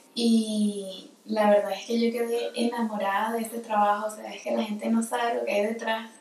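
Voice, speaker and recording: At a moderate pace and with hardly any pauses, a woman with a fairly high pitch talks in a flat monotone, her loudness swinging widely, amid audible room echo and noticeable background noise. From Venezuela, Caracas. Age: 20s. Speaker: film editor and photographer. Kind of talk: casual interview.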